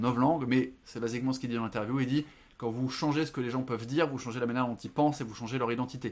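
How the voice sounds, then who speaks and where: Very rapid speech from a man, his intonation fairly level. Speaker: film and book podcast guest. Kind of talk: casual chat. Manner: halting.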